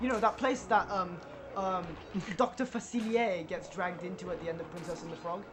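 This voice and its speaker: Noticeable background noise sits behind speech that runs at a fairly quick pace. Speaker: let's play gaming commentator. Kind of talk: casual chat. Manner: loud.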